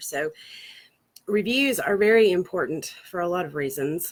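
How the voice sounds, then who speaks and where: A woman speaks with a slight Southern US accent. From Florida, US South. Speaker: marketing agency founder. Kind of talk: casual talk to camera, livestream. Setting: outdoors on a porch swing. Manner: fast.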